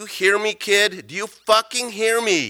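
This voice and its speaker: Using a put-on character voice, a man speaks at a moderate pace with a high pitch. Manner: angry, threatening, shouting at a door.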